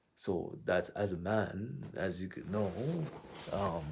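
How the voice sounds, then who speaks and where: Somewhat breathy, a man with a fairly low pitch talks at a fairly slow pace. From Quebec, Montreal. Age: 20s. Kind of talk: personal vlog monologue. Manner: casual.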